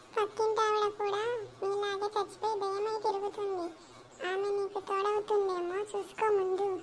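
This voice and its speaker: A cartoonish character voice at an extremely high pitch, flat and monotone in intonation, at a fairly slow pace, over clear background noise. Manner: excitable, exclamatory.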